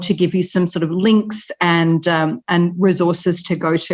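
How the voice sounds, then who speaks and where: In an Australian accent, a woman talks at a moderate pace and a medium pitch. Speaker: humanitarian organisation representative. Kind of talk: webinar presentation.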